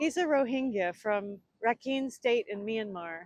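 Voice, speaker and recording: A woman with a plain, everyday voice and fairly high pitch talks at a moderate pace, the sound dry and close with no echo. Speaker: co-founder and president of a nonprofit. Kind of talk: documentary narration.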